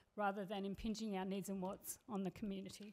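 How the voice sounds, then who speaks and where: Speaking very fast with an Australian accent, a woman has a dark, mellow tone. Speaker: community radio station manager. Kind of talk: presentation to council. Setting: council meeting.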